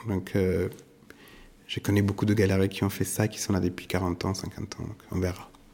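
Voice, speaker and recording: A man's very deep, low voice has a dark, mellow tone and monotone, flat intonation. He speaks at a moderate pace with long, frequent pauses. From southern Italy. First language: Italian (speaking French). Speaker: art gallerist. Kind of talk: interview. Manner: halting, many hesitations.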